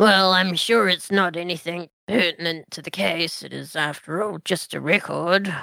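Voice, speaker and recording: This is a put-on character voice, raspy and middle in pitch. It runs at a moderate pace with hardly any pauses. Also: female-sounding voice. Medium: actual play. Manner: dry, measured, authoritative.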